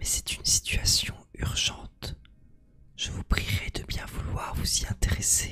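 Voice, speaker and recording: A man whispers at a very slow pace against noticeable background noise. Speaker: streamer. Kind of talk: ASMR live stream chat. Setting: live stream. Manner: whispering.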